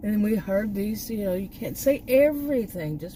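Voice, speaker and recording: A woman with an American accent speaks at a moderate pace. Her pitch is fairly high and her intonation lively. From Texas. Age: 60s. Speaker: YouTube vlogger, former college teacher. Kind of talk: casual vlog monologue. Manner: halting, many restarts.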